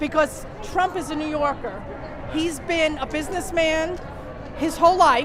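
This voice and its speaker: A woman's extremely high voice at a fairly slow pace, with crowd noise in the background and audible room echo. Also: fairly even intonation. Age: old. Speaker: rally attendee interviewed. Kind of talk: street interview.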